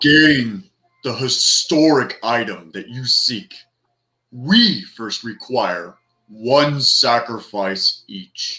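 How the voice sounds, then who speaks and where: In a booming put-on character voice, a man speaks very slowly at medium pitch. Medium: actual play. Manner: grand, commanding.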